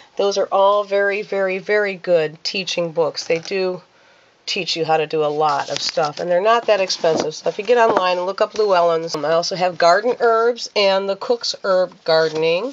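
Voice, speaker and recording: A woman speaks at a medium pitch and a moderate pace, with ordinary pitch variation. Noticeable background noise is present. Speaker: minister and spiritual hobbyist vlogger. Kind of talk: casual show-and-tell vlog. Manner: hesitant, with fillers.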